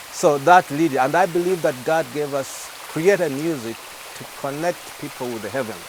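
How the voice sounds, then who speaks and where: Against noticeable background noise, a man with a Ugandan accent talks at a moderate pace, his fairly high voice showing ordinary pitch variation. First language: Luganda. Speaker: gospel singer. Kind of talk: TV interview. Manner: halting.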